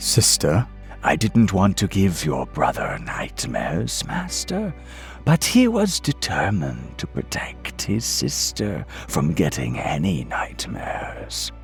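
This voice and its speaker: Clear music plays behind a man doing a put-on character voice at a fairly slow pace. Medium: read story. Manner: respectful, deferential.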